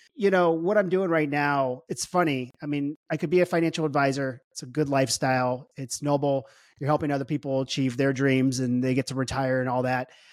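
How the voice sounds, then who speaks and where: A man with an American accent speaks at a fairly high pitch, with fairly even intonation, hardly any pauses, and a dry, close sound free of echo. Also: fairly quick pace. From US Midwest, St. Louis, Missouri. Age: 40s. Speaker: entrepreneur, wealth tech CEO. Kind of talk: casual interview chat.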